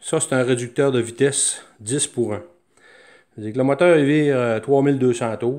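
The speaker has a Quebec accent and talks at a very slow pace with ordinary pitch variation. The background is quiet. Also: man. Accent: Québécois French. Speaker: DIY hobbyist. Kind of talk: show-and-tell tutorial. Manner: halting, many fillers. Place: workshop. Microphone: phone near.

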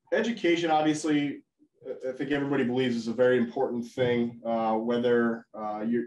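Words come at a very fast pace with fairly even intonation, carrying an audible room echo over light background noise. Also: man. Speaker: webinar host, sales manager. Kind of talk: webinar presentation. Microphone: video call.

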